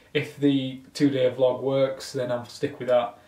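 Audible room echo surrounds a man speaking in a monotone with flat intonation. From Yorkshire, England. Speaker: vlogger and small business owner. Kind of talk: casual vlog narration. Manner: casual, with fillers. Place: home room. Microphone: phone near.

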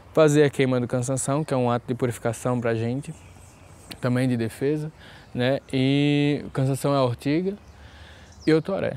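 The dry sound with no echo carries a man speaking at a moderate pace with fairly even intonation. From Brazil, Pernambuco (Pankararu village); Pernambuco. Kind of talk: interview testimony. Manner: hesitant, with fillers. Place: garden. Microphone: lapel.

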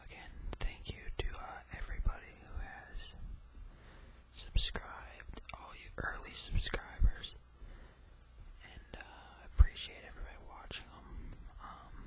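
Whispering at a fairly slow pace, a man leaves long, frequent pauses while his loudness swings widely. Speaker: ASMR creator. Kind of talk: whispered casual vlog chat. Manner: soft close-mic ASMR murmur. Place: home room. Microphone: studio mic.

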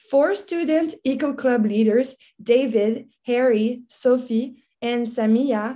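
A high-pitched woman's voice with ordinary pitch variation. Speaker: program coordinator host. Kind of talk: event introduction. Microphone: video call.

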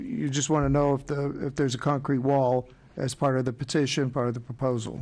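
A man talks at a fairly quick pace in a monotone, with flat intonation. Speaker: zoning commission chair. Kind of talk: meeting chairing. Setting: public hearing room. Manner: formal. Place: hall. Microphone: podium.

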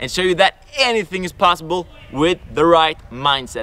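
A man speaks with a high pitch at a fairly quick pace. The sound is dry, with no echo. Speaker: mindset coach, YouTuber. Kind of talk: energetic video intro to camera. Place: forest.

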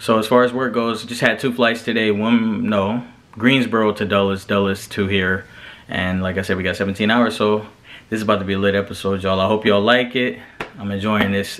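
Speaking at a fairly quick pace, a man with fairly low pitch keeps a monotone, flat intonation. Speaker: flight attendant vlogger. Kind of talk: casual vlog chat. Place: home room. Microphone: phone near.

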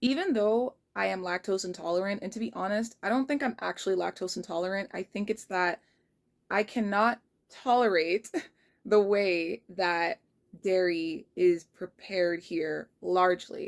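A woman talks at a moderate pace. Her background is quiet. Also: ordinary pitch variation. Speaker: vlogger. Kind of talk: casual vlog chat. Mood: relaxed, occasional laughs. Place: home room. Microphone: phone near.

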